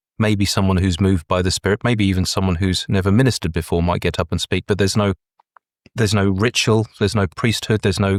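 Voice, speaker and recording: Someone with a southern English accent talks at a very fast pace with fairly even intonation. The sound is dry and close with no echo, on a very clean recording with a silent background. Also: man. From Brighton, southern England. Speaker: breathwork facilitator. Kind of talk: interview answer.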